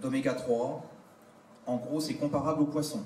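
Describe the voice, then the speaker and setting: A man's voice with ordinary pitch variation, audible room echo and noticeable background noise. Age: 60s. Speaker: entrepreneur selling insect and algae foods. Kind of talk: product presentation to an audience. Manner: hesitant, many fillers.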